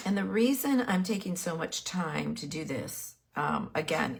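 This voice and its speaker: A woman's fairly slow speech with lively intonation and vocal fry. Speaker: painting instructor. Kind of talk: tutorial. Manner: casual, with pauses.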